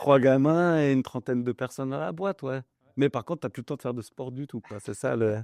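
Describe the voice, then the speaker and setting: A man speaks in an unremarkable speaking voice at a medium pitch with ordinary pitch variation and a fairly quick pace. The sound is dry and close with no echo over a quiet background. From northern France, Pas-de-Calais near Le Touquet. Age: 30s. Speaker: business owner. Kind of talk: podcast interview. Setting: mobile studio.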